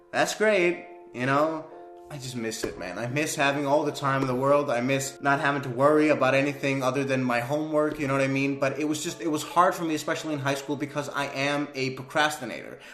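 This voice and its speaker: A man speaks at a very fast pace with a fairly high pitch and fairly even intonation. Noticeable background noise and audible room echo fill the recording. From Denmark. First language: Danish. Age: 20s. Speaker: YouTuber. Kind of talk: casual commentary. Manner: casual, hesitant with fillers.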